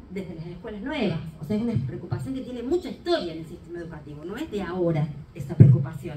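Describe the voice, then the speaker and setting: Over noticeable background noise and audible room echo, a woman talks at a very fast pace with very wide pitch swings. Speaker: education researcher. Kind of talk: conference talk.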